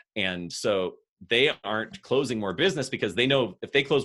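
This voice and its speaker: This man has a medium pitch and an American accent. His intonation is lively. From Central California (Fresno). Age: 40s. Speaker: business consultant. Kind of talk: casual interview chat.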